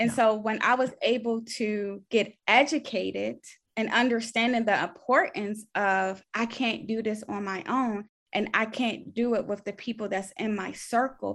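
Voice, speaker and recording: A woman's fairly high voice at a moderate pace, fairly even in intonation, in a very clean recording with a silent background. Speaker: registered nurse and faith speaker. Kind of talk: faith testimony interview.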